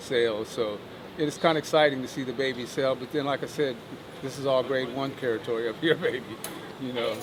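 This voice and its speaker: A man talks at a fairly quick pace with noticeable background noise behind him. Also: medium pitch for a man. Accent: American. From Ohio, US Midwest. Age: 60s. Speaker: horseman, horse sales agent. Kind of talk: casual interview. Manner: animated.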